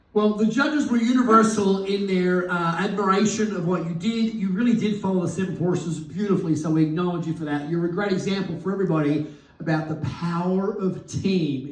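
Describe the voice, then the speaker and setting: The speaker talks at a fairly quick pace with hardly any pauses and ordinary pitch variation, amid audible room echo and noticeable background noise. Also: man, high pitch for a man. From Australia. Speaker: business coach, event host. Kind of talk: live event interview.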